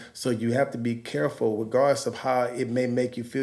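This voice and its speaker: Medium in pitch, a man with an American accent speaks in a dark, mellow tone with fairly even intonation. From Los Angeles. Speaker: musician and pastor. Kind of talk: casual chat.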